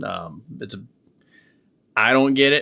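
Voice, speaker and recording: In a very clean recording with a silent background, a man with a Midwestern US accent speaks at a moderate pace in a bright, sharp tone. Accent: General American (Midwestern). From US Midwest. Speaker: online commentator. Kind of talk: reaction commentary. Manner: halting, with repeated starts.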